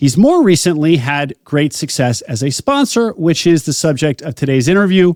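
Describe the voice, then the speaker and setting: In a plain, everyday voice, a man talks at a moderate pace with lively intonation and hardly any pauses, recorded dry and close with no echo. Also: fairly high pitch for a man. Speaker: podcast host. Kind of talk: podcast intro.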